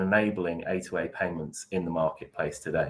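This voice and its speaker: A man at a moderate pace, with a British accent. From UK. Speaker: market research analyst and moderator. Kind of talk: webinar moderation. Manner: hesitant with many fillers.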